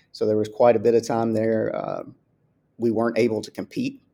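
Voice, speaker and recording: In a Southern US accent, a man speaks at a fairly quick pace. His tone is dark and mellow, with a medium pitch. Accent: Southern US, heard as Texan. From US South, Kentucky. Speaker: school athletics director. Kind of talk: interview.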